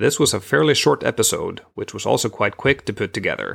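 On a very clean recording with a silent background, a man with an ordinary speaking voice talks at a fairly quick pace with ordinary pitch variation. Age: 40s. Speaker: podcast host. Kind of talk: scripted narration.

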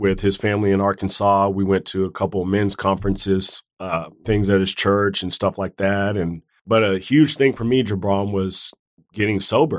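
A plain, everyday voice from a man with an American accent, fairly low in pitch, at a moderate pace with fairly even intonation, in a very clean recording with a silent background. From Oklahoma, US. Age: 30s. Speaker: medical student. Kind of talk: casual chat.

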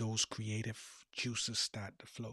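The pace is fairly slow. The recording is very clean with a silent background and a dry, close sound with no echo. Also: man. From Bahamas (Eleuthera, schooling in Nassau). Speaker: life coach and podcast host. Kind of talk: motivational monologue.

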